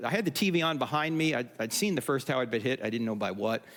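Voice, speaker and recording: Over noticeable background noise, a man with a New Jersey accent speaks in an animated tone at a fairly high pitch. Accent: New Jersey American. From US Northeast, New Jersey. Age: 60s. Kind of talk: conference talk. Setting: stage with audience.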